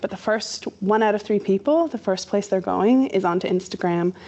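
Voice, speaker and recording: A woman with a Canadian accent talks in a normal speaking voice at medium pitch and a moderate pace, with ordinary pitch variation. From Canada. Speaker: social media marketer. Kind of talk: workshop presentation. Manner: casual, conversational.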